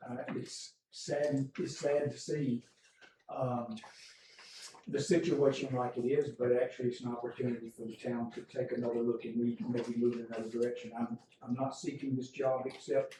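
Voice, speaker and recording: Amid noticeable background noise, a man with a Southern US accent speaks at a moderate pace. His pitch is medium and his intonation fairly even. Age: 70s. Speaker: retired public official. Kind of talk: public comment at council meeting. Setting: town council meeting. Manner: halting, many fillers.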